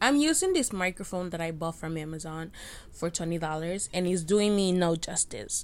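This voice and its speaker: A woman with a Spanish accent at a moderate pace. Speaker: podcaster, college student. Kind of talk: casual solo rant. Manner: rambling, halting.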